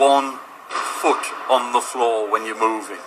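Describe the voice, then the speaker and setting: A man talks over noticeable background noise. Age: 60s. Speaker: walking football player. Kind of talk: radio interview. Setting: sports hall.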